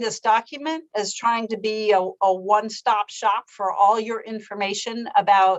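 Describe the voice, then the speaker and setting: A woman uses an ordinary speaking voice, fairly high in pitch, with fairly even intonation. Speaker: legislative staff analyst. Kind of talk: committee presentation.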